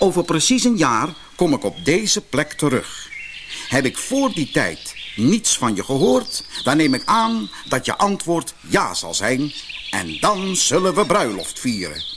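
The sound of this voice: A man uses a put-on character voice, fairly high pitched and fairly bright in tone, with big pitch swings. He goes at a fairly slow pace over faint background noise.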